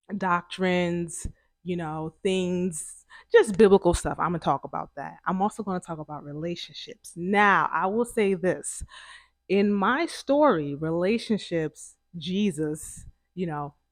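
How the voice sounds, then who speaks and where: Speech comes at a fairly slow pace with a New Jersey accent. The recording is very clean, with a silent background. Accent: New Jersey American. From New Jersey, US. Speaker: YouTuber. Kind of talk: casual vlog introduction. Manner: casual, conversational.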